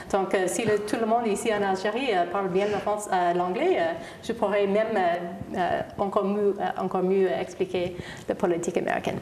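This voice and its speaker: Over noticeable background noise, a woman with an English accent speaks at a moderate pace and medium pitch, with fairly even intonation and very even loudness. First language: English (speaking French). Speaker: ambassador. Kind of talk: TV interview. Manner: halting, many hesitations.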